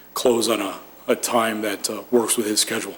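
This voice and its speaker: A man speaks at a medium pitch and moderate pace. His intonation is monotone and flat. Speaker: developer representative presenting to planning commission. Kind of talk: formal presentation at public meeting. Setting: municipal commission meeting room.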